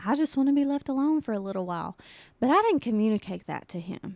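The recording is dry and close, with no trace of echo. A woman speaks with a Tennessee accent. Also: very clean recording, silent background. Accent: Southern US (Tennessee). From US South, Tennessee (Mount Pleasant). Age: 20s. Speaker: podcast host. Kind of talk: casual chat.

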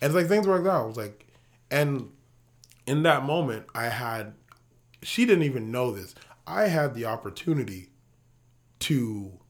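A man of medium pitch speaks at a moderate pace, leaving long, frequent pauses and swinging very widely in pitch. Audible room echo surrounds the voice. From Ghana. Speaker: podcast co-host. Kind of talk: casual chat.

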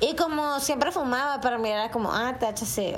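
The voice shows ordinary pitch variation. There is audible room echo and noticeable background noise. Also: woman. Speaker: podcast co-host. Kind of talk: casual chat.

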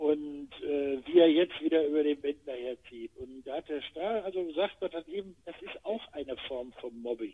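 A man speaks in a normal speaking voice, fairly high in pitch, at a moderate pace. He leaves hardly any pauses, and his loudness swings widely. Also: ordinary pitch variation. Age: 60s. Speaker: retired actor and podcast co-host. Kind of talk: casual chat.

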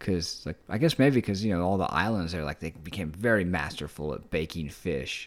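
A man with an American accent speaks at a fairly quick pace and a very deep, low pitch. The recording is very clean, with a silent background. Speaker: solo podcaster. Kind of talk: casual monologue. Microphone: new recording equipment.

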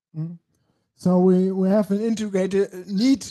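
A dark, mellow tone with a German accent and fairly even intonation. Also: man. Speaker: talk show host. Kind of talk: live interview talk. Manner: halting.

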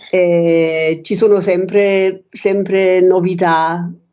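A woman with a German accent and fairly even intonation. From Germany. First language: German (speaking Italian). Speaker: painter. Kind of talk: radio interview. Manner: halting.

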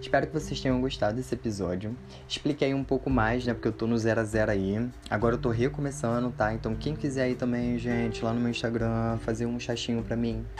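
Fairly quick speech from a man, noticeable noise in the background. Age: 20s. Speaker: podcast host. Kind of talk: personal storytelling monologue. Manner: casual, chatty with laughs.

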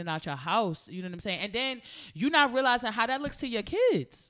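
On a very clean recording with a silent background, a woman with an American accent talks at a fairly quick pace with very wide pitch swings. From US. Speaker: rapper and co-host. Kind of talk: casual chat.

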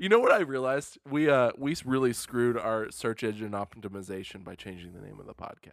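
On a very clean recording with a silent background, a man in an ordinary speaking voice at medium pitch talks fairly quickly with hardly any pauses, lively intonation and big swings in loudness. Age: 20s. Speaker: podcast co-host. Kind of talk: casual chat. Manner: laughs often.

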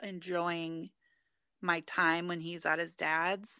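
Someone with an American accent speaks at a very slow pace in a bright, sharp tone. The sound is dry and close with no echo, on a very clean recording with a silent background. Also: woman. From US Pacific Northwest, Portland, Oregon. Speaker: reseller. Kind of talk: casual chat.

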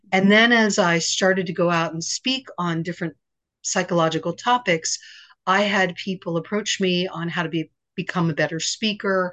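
Speaking at a moderate pace, a woman uses an unremarkable speaking voice with medium pitch and fairly even intonation. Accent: American. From US East Coast. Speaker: psychotherapist and confidence coach. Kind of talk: podcast interview.

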